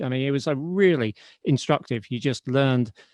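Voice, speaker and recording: A man with a British accent speaks at a fairly quick pace and a medium pitch. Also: dry, close sound with no echo. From Britain. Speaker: podcast host, writer. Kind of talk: interview. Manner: halting, many restarts.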